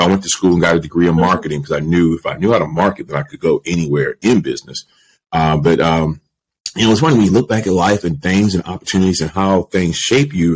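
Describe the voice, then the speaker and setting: A man with an American accent, a very deep, low pitch, a very fast pace and ordinary pitch variation. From Baltimore, Maryland. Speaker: media entrepreneur; podcast guest. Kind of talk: interview conversation. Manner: casual, filler-heavy. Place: home room. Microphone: studio mic.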